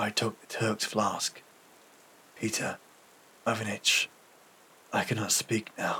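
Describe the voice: A man does a put-on character voice at a slow pace and fairly low pitch, with little pitch movement. The tone is bright and sharp, with a husky, rough edge.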